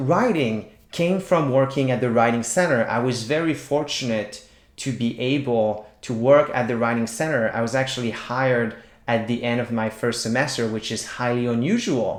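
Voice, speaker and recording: A man with a Quebec accent talks at a moderate pace in a medium pitch. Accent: Québécois French-accented English. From Quebec, small town. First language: French. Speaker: writing teacher. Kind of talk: tutorial.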